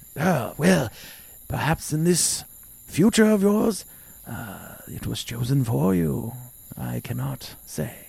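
Putting on a character voice, a man speaks at a medium pitch and a fairly slow pace, leaving long, frequent pauses. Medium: actual play. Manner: cryptic, smug.

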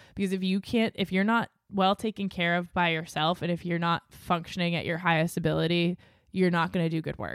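In a plain, everyday voice with an American accent, a woman speaks at a fairly quick pace and fairly low pitch with fairly even intonation, recorded dry and close with no echo against a very clean, silent background. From US Northeast, New Hampshire seacoast. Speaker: audio engineer and podcast producer. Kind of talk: casual chat.

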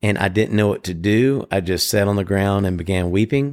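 In a Southern US accent, a man speaks at a fairly low pitch. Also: very clean recording, silent background. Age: 40s. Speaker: podcast co-host. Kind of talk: casual chat.

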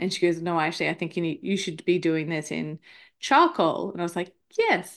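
This woman has an Australian accent and a fairly low pitch. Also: quiet background. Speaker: marketer and podcaster. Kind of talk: casual chat. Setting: remote call.

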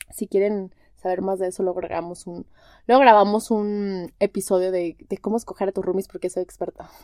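A woman's medium-pitched voice, dark and mellow in tone, at a fairly quick pace, with a dry, close sound and no echo. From Mexico, Guadalajara. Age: 30s. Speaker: podcast host, wellness coach in training. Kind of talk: casual solo monologue. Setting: home bedroom. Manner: animated.

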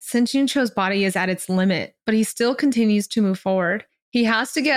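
Plain reading aloud with ordinary pitch variation comes over a quiet background.

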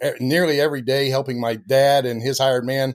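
Delivery comes at a fairly quick pace with little pitch movement. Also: man.

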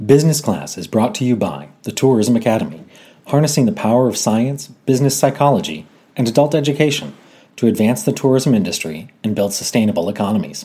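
A dark, mellow tone with vocal fry, very wide pitch swings and a very fast pace. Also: man, medium pitch for a man. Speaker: podcast host. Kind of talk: casual interview chat.

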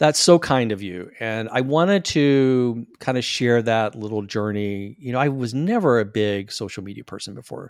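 A man talks at a moderate pace with hardly any pauses, in an ordinary speaking voice. His loudness swings widely, on a very clean recording with a silent background. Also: medium pitch for a man, ordinary pitch variation. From US Deep South, small-town Florida. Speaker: actor, attorney and podcaster. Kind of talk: interview conversation.

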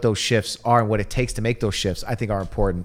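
Recorded very cleanly against a silent background, a man with an American accent uses an unremarkable speaking voice at medium pitch. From Detroit, US Midwest. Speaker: comedian. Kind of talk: casual chat.

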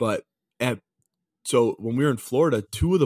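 A man with a normal speaking voice talks at a moderate pace with ordinary pitch variation, recorded very cleanly with a dry, close sound, no echo and a silent background. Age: 20s. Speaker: hockey podcast co-host. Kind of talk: casual chat.

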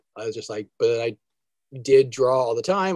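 A man talks with an American accent in a somewhat breathy voice. The sound is dry and close, with no echo. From New Jersey. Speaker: cartoonist. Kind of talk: interview.

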